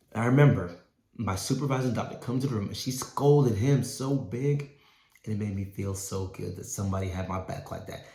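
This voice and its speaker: With an American accent, a man speaks with ordinary pitch variation. There is audible room echo. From US, Nigerian-born. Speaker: doctor and keynote speaker. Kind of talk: keynote speech.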